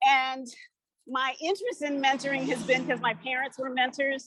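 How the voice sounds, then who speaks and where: The woman's voice is high-pitched, and the sound is dry and close with no echo. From US Pacific Northwest, Portland, Oregon. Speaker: physician. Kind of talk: self-introduction. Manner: walking while talking.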